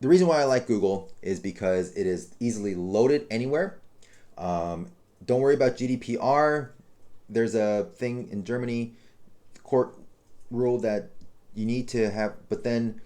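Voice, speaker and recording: A man speaks at a medium pitch in a dark, mellow tone with lively intonation, leaving long, frequent pauses. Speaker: web design tutor. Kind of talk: tutorial. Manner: fast; casual with many fillers.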